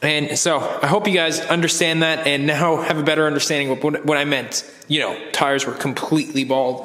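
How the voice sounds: A raspy man with a bright, sharp tone talks at a fairly quick pace and a fairly high pitch, his intonation fairly even, with audible room echo around him.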